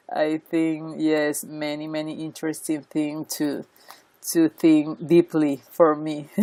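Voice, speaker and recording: A woman with a non-native accent speaks at a very slow pace, her pitch very deep and low. The tone is dark and mellow, the intonation monotone and flat. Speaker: writing center researcher. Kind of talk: interview. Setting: video call. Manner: halting.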